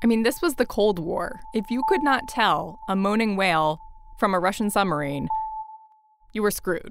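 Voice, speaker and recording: This ordinary speaking voice moves at a moderate pace with lively intonation. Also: woman, fairly high pitch for a woman. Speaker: podcast host. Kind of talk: scripted narration with casual banter.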